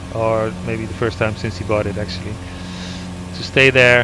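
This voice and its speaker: Against noticeable background noise, a man with a Dutch accent speaks at a medium pitch and a moderate pace with ordinary pitch variation. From Netherlands. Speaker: gaming YouTuber. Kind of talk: flight sim gameplay commentary. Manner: casual, hesitant with fillers.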